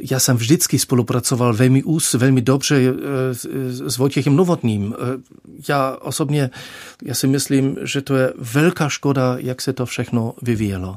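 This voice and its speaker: A man of medium pitch speaks with a German accent. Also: ordinary pitch variation, moderate pace. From Germany. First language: German (speaking Czech). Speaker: dean candidate, theologian. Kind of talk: radio interview. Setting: studio. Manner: halting.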